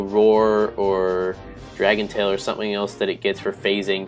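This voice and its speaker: A man's fairly low-pitched voice is heard with music in the background. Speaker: gaming commentator. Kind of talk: game commentary narration. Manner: casual, hesitant with fillers.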